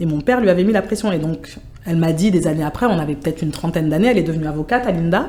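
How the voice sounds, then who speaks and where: The intonation is lively. The speaker is a woman. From France, Sevran (Seine-Saint-Denis). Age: 40s. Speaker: project manager in international relations. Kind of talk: interview conversation.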